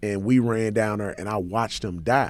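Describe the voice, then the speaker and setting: On a very clean recording with a silent background, a man has an ordinary speaking voice, fairly low in pitch, at a moderate pace. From St. Louis, Missouri (west side inner city). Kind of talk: radio interview.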